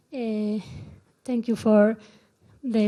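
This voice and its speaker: Crowd noise fills the background as a woman with a fairly high pitch speaks very slowly in a monotone, flat delivery. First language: not English. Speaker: researcher. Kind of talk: conference talk. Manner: halting.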